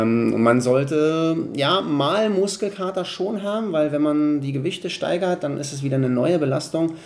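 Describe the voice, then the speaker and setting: Fairly slow delivery with ordinary pitch variation and hardly any pauses, plus noticeable background noise and audible room echo. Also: man, fairly high pitch for a man. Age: 40s. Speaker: personal trainer. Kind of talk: interview.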